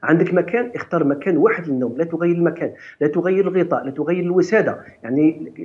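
A man talks at a very fast pace. His pitch is high. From Algeria. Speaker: doctor giving health advice; guest. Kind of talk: TV morning show interview. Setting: TV studio, live. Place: office. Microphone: video call.

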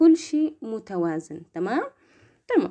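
Her dark, mellow tone moves through very wide pitch swings as the woman speaks over a quiet background. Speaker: nursing student tutor. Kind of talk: lecture. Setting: live stream. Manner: soft-spoken; casual. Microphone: phone near.

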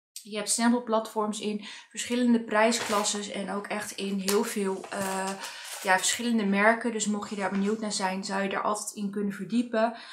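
A woman's monotone, flat delivery at a moderate pace, with light background noise. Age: 30s. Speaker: beauty and craft vlogger; craft vlogger. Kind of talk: product review tutorial. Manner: casual, hesitant with fillers. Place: home room.

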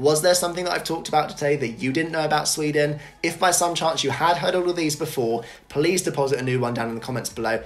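A man with a British accent at a very fast pace, with ordinary pitch variation. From Britain. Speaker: YouTuber. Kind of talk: scripted to-camera presentation. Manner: animated. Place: home room.

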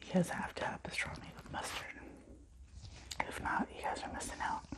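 Whispering at a moderate pace, a woman shows big swings in loudness. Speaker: ASMR eating-show creator. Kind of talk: casual talk to camera. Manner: whispered. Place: home room. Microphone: phone near.

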